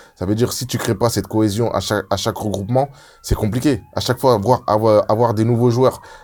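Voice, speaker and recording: A man talks at a fairly quick pace with fairly even intonation. Noticeable background noise can be heard. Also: medium pitch for a man. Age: 30s. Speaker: former professional footballer. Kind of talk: casual chat.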